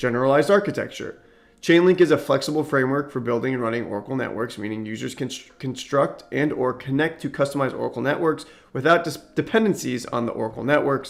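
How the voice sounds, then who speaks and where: The speech runs at a very fast pace with ordinary pitch variation. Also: man, fairly high pitch for a man. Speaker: crypto content creator. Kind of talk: tutorial. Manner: reading aloud with explanations; occasional stumbles and fillers.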